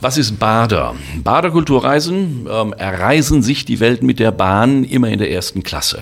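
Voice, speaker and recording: His pitch swings very widely around a medium level. The man talks at a fairly slow pace. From Germany, Sauerland (Westphalia). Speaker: travel company owner and former tour guide. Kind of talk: promotional monologue.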